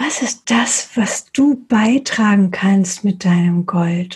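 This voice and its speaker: A woman's medium-pitched voice, somewhat breathy, with a dark, mellow tone and a gentle, soothing tone, ordinary pitch variation, and a very slow pace. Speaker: meditation guide. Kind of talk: guided meditation. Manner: slow, soft, soothing; gentle, unhurried pacing with pauses.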